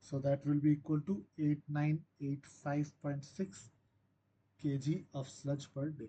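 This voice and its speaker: A somewhat breathy male voice at a fairly slow pace with fairly even intonation. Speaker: teaching assistant. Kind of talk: tutorial.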